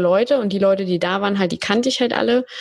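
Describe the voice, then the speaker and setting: A woman speaks in an ordinary speaking voice. Her pitch sits in the middle range, with ordinary variation. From Berlin, Germany. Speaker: podcast agency founder. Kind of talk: casual interview chat.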